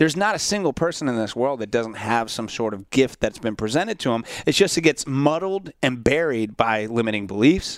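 A man with an American accent speaks in an unremarkable speaking voice at medium pitch, fairly quickly and with hardly any pauses, his intonation lively, on a very clean recording with a silent background. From Central Florida. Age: 30s. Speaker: podcast and radio host. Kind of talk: casual interview chat.

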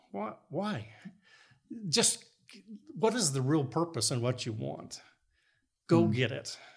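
A man of medium pitch speaks at a fairly slow pace with vocal fry. His pitch swings very widely, with long, frequent pauses. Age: 60s. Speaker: structural engineer. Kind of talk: casual chat. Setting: guest's home.

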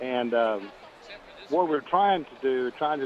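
Speaking at a moderate pace, a man with an American accent has a medium pitch, and noticeable background noise can be heard. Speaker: radio caller. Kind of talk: phone-in question. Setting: phone call.

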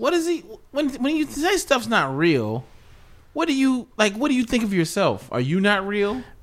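On a very clean recording with a silent background, a man at an extremely high pitch speaks at a moderate pace, with very wide pitch swings and very even loudness. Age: 20s. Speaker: comedian. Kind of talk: casual chat. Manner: animated.

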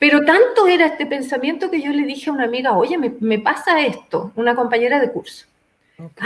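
Her voice sits high and swings very widely in pitch. This woman keeps a moderate pace. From Chile. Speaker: spiritual teacher and author. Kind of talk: interview testimony.

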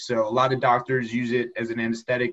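A man speaks at a fairly quick pace with a medium pitch. He has an unremarkable speaking voice. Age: 30s. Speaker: lawyer and accountant. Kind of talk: interview.

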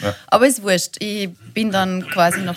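A woman with a somewhat breathy voice speaks at a medium pitch with fairly even intonation. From Linz, Upper Austria. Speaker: TV presenter. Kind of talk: casual chat.

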